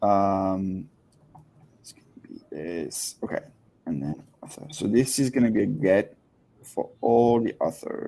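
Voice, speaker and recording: A man's fairly low, dark and mellow voice with very wide pitch swings, big swings in loudness and long, frequent pauses. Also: fairly slow pace. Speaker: head of product hosting a software office hours session. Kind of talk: live software tutorial. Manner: hesitant, many fillers.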